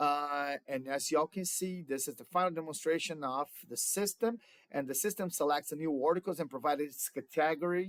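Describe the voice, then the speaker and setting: Speaking at a fairly quick pace with a Brazilian Portuguese accent, a man uses a fairly high pitch and ordinary pitch variation, in a dry, close sound with no echo. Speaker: student. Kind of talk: class project presentation. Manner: halting, with fillers.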